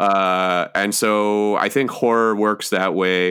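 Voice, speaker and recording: A man with a Canadian accent and an unremarkable speaking voice talks at a fairly low pitch with fairly even intonation in a very clean recording with a silent background. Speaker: novelist. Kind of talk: casual chat.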